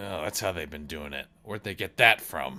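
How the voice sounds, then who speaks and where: A man does a put-on character voice that is raspy and very deep and low. He moves at a moderate pace. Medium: actual play. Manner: skeptical and grumbling.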